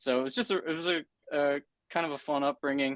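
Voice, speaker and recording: Against a quiet background, a man with a Canadian accent and an unremarkable speaking voice talks at a fairly quick pace and fairly high pitch, the sound dry and close with no echo. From eastern Canada, Cape Breton Island. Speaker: entrepreneur and investor. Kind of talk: interview conversation. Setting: live stream. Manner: casual, with many fillers and restarts.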